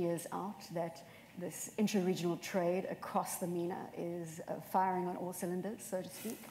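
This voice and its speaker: Against light background noise and audible room echo, a woman speaks in a dark, mellow tone at a fairly low pitch. Her pace is moderate and her intonation monotone and flat. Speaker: moderator. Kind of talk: panel interview. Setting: stage with audience. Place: stage. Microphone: lapel.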